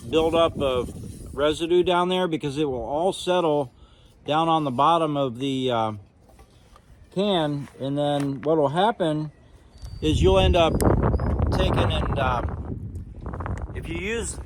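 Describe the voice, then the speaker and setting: Over noticeable background noise, a man with a fairly high voice speaks at a moderate pace with ordinary pitch variation and long, frequent pauses. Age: 50s. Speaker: YouTuber, nursery owner and carpenter. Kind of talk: tutorial. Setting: outdoors. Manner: casual, halting with fillers.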